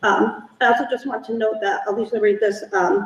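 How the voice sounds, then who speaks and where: Noticeable background noise sits behind a woman with a fairly high pitch. She talks at a fairly quick pace with lively intonation. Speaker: task force chair. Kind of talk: public meeting chairing. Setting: meeting room, poor acoustics. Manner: fast; quiet.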